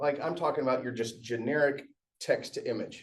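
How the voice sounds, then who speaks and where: A man's animated voice with an American accent. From Aberdeen, Scotland, raised in US. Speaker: tech presenter. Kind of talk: tech workshop talk. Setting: meetup room with audience. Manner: casual, animated.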